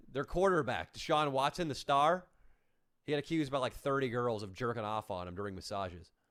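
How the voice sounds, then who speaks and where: On a very clean recording with a silent background, a man with an American accent talks at a fairly quick pace and medium pitch, his voice swinging very widely. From Northern California (Orangevale, near Sacramento). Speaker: YouTuber and comedian. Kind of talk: casual live stream chat.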